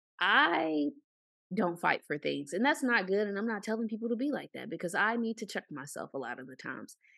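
Over a quiet background, a woman talks at a fairly quick pace with vocal fry, very wide pitch swings and big swings in loudness. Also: medium pitch for a woman. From Arkansas. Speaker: podcast co-host. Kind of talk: casual chat.

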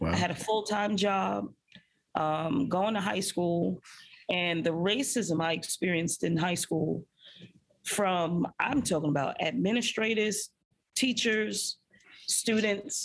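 Speaking at a very slow pace with long, frequent pauses, a woman uses a medium pitch with vocal fry, very even loudness and ordinary pitch variation. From Brooklyn, New York. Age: 40s. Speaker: high school principal. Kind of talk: interview. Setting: in her school's food pantry.

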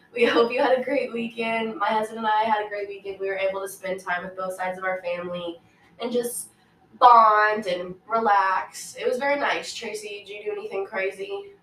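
A woman at a medium pitch talks at a fairly quick pace with fairly even intonation and big swings in loudness, over noticeable background noise. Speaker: podcast co-host. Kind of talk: casual chat.

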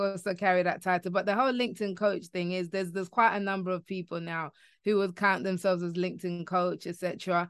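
A woman speaks with a London accent. Her pitch is medium. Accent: British English, London. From London, England. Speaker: LinkedIn coach and author. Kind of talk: interview conversation.

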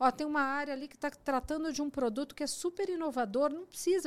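A woman speaks at a very fast pace in a high voice with ordinary pitch variation. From Brazil, Mogi das Cruzes (São Paulo state). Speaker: technology executive. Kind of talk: casual chat.

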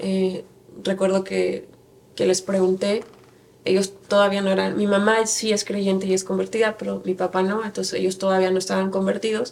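A woman's voice at a medium pitch, with monotone, flat intonation. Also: moderate pace. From Mexico, Querétaro. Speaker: church member, women's teacher. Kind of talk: interview testimony.

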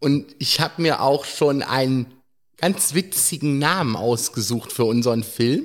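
A man speaks at a fairly slow pace with ordinary pitch variation. His loudness stays very even. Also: very clean recording, silent background. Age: 30s. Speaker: care home resident, blind wheelchair user. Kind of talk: casual interview. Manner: hesitant.

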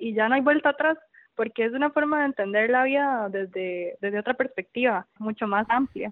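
The voice is a woman's, high in pitch. She speaks at a fairly quick pace. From Costa Rica, Tibás. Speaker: cancer survivor. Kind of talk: interview. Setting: phone call. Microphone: old landline phone.

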